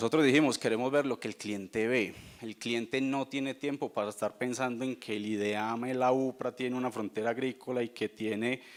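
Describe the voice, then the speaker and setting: His intonation is fairly even, and his pitch is medium. The man moves along at a fairly quick pace. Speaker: company sustainability representative. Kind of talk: conference talk. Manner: fast.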